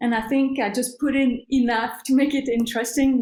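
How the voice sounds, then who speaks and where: With a French accent, a woman speaks at a fairly quick pace. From Switzerland. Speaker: bush pilot and author. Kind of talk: interview. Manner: hesitant, many fillers.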